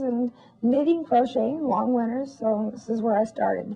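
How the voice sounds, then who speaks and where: With an American accent, a woman speaks at a fairly high pitch and a moderate pace, with ordinary pitch variation. Noticeable background noise runs underneath. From Massachusetts. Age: 60s. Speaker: crochet lace maker. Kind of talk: interview. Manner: halting.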